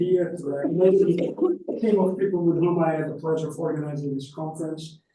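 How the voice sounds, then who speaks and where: A man's high-pitched voice at a fairly quick pace, fairly even in intonation, with audible room echo. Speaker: academic conference speaker. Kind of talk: conference talk. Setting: conference hall with audience, microphone. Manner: fast.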